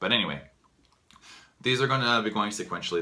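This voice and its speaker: This is a man speaking. Room echo is audible. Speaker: vlogger. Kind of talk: casual monologue to camera. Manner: fast; halting, many fillers.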